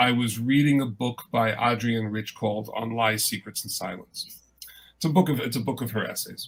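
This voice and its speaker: Medium in pitch, a man talks at a moderate pace with ordinary pitch variation. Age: 60s. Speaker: poet. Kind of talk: panel discussion. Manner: halting.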